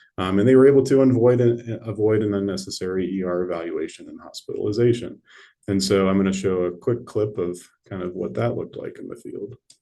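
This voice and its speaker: A man speaks very fast in a fairly low voice with a dark, mellow tone and ordinary pitch variation. His loudness swings widely, and room echo is audible. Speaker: neurologist. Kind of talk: lecture.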